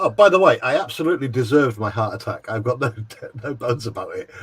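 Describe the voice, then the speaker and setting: With an English accent, a man speaks at a very fast pace with ordinary pitch variation over noticeable background noise. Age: 60s. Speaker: hobbyist. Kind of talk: casual chat.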